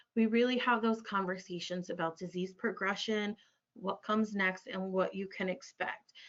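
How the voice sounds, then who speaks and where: A woman speaks in a normal speaking voice at a medium pitch. Her intonation stays fairly even and her pace moderate. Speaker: clinical social worker. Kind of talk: webinar presentation. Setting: online webinar.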